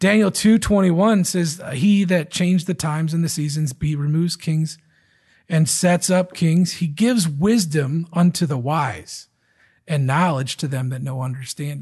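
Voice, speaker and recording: A man with an American accent has a plain, everyday voice and fairly high pitch with ordinary variation. He speaks at a fairly slow pace against a quiet background. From Michigan. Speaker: pastor. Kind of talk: sermon.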